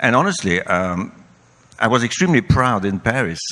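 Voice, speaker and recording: A man with a French accent speaks at a moderate pace, his very deep, low voice showing lively intonation. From France. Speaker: company CEO. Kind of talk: panel discussion.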